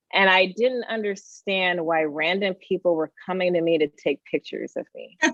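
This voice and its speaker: With a Californian accent, a woman speaks at a fairly low pitch and a moderate pace. Her intonation is fairly even. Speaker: tech executive and educator. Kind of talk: interview.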